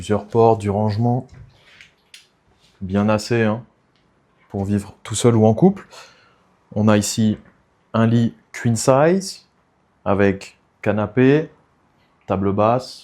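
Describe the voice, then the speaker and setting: A dark, mellow tone at a very slow pace, with fairly even intonation and long, frequent pauses. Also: man. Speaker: real estate agent. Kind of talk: property tour video. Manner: soft-spoken.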